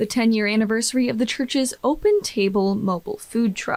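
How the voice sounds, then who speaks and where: A woman with an American accent at a moderate pace, her intonation fairly even, over noticeable background noise. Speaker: TV news reporter. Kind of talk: TV news voiceover narration.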